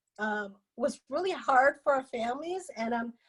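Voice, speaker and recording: A woman with a Lao accent speaks in a high pitch. Her pace is moderate and her pitch variation ordinary. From Laos. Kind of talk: interview testimony.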